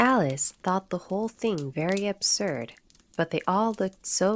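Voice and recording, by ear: Someone is reading aloud in a natural voice. The words are spoken from a text.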